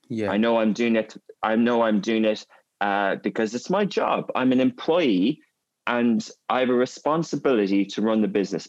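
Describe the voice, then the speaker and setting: A man speaks in an Irish accent at medium pitch. His pace is moderate and his pitch varies in an ordinary way. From Ireland, Gaelic-speaking area. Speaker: media company CEO. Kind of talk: interview conversation.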